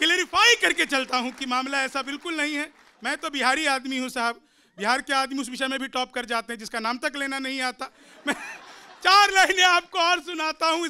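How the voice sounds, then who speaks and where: A man's raised, projected voice, extremely high in pitch, with a bright, sharp tone and ordinary pitch variation. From Bihar. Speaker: poet; comic poet. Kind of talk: stand-up. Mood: jovial, smiling, joking. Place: studio. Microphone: studio mic.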